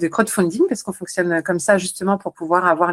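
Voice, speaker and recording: This very clean recording with a silent background has a dry, close sound and no echo. A woman with a fairly low pitch speaks in an energetic tone at a fairly quick pace. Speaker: psychologist and author, guest. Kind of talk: podcast interview. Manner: fast.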